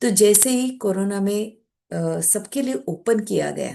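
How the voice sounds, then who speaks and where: A woman's medium-pitched voice with a dark, mellow tone and a Marathi accent, against a quiet background. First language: Marathi (speaking Hindi). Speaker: meditation practitioner, guest speaker. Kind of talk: personal spiritual testimony talk.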